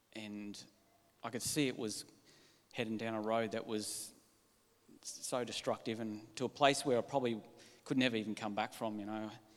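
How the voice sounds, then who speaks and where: A man with an Australian accent speaks at a moderate pace in a monotone, flat intonation, leaving long, frequent pauses. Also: medium pitch for a man. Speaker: church member. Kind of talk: testimony.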